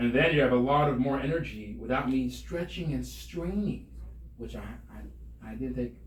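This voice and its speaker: A man is heard speaking with audible room echo. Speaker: rabbi and CPR instructor. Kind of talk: tutorial. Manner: fast.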